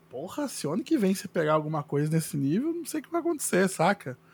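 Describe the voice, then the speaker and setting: A man talks at a fairly quick pace. His pitch is high and swings very widely. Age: 30s. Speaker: illustrator. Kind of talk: casual chat.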